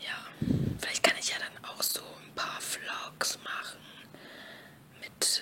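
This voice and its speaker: Whispering comes through against noticeable background noise. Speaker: ASMR creator. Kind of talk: casual whispered vlog. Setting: noisy background. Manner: whispered.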